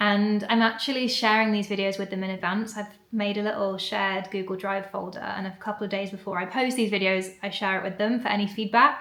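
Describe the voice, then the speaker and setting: Over noticeable background noise, a woman with an English accent talks fairly quickly at a medium pitch, barely pausing. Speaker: vlogger. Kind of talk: casual vlog talk to camera. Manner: fast when excited.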